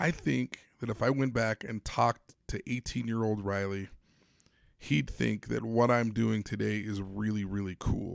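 Captured on a very clean recording with a silent background and a dry, close sound with no echo, a normal speaking voice moves at a fairly slow pace with ordinary pitch variation. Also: man, fairly low pitch for a man. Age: 40s. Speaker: podcast host and sports psychology consultant. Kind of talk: motivational monologue.

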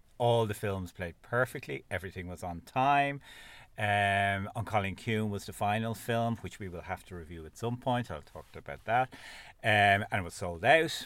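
A man with an Irish accent at a fairly low pitch and moderate pace, ordinary pitch variation, big swings in loudness, and a very clean recording with a silent background. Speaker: podcast host. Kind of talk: casual chat. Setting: in a car.

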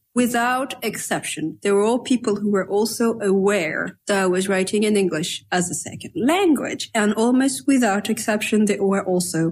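With a French accent, a woman speaks at a medium pitch and a moderate pace. Her intonation is lively, and she hardly pauses. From France. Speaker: novelist. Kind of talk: casual chat.

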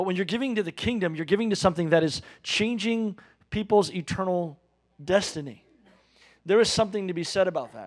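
On a very clean recording with a silent background, a man talks at a fairly quick pace and high pitch, with ordinary pitch variation, big swings in loudness, and long, frequent pauses. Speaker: pastor. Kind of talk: sermon and announcements. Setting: church.

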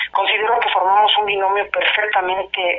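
There is noticeable noise behind this woman as she talks at a moderate speed. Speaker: laid-off electrical worker, union activist. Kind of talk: phone interview. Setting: phone call. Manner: hesitant, many fillers.

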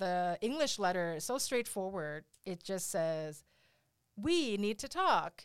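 On a very clean recording with a silent background, a woman talks at a very slow pace with lively intonation. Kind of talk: casual interview chat. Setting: studio.

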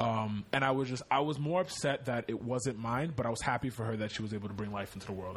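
This man speaks at a very fast pace. His pitch is medium, with ordinary variation. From Connecticut. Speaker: content creator and music producer. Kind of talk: casual chat.

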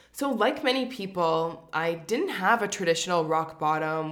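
A woman with a Canadian accent speaks at a fairly slow pace in a fairly low voice, her intonation lively, with audible room echo. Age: 30s. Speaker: podcast host. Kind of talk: personal monologue.

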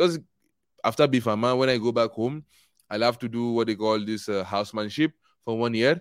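A man with a Nigerian accent talks at a fairly quick pace and medium pitch, with ordinary pitch variation and long, frequent pauses. The recording is very clean, with a silent background. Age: 20s. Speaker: pharmacy graduate. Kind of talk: casual chat. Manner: laughs often.

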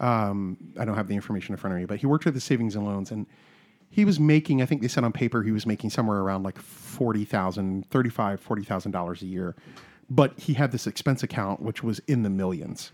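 A man's fairly low voice at a very fast pace, ordinary pitch variation, dry and close with no echo. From South Carolina. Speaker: comedian. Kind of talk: casual chat.

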